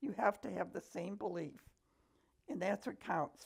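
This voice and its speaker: An American accent marks this woman's medium-pitched voice, which has vocal fry and lively intonation. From Buffalo, New York. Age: 80s+. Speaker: grandmother telling her life story. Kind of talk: memoir interview.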